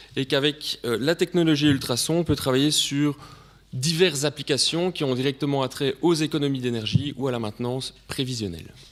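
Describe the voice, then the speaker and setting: Pitch varies in an ordinary way while the words come at a fairly quick pace. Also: man, fairly high pitch for a man. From Belgium. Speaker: sales director presenting at a conference. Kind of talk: conference presentation.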